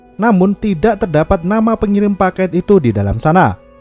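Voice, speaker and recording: Music plays in the background of this dry, close recording with no echo, where the speech moves at a moderate pace. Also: man. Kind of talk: film plot recap narration.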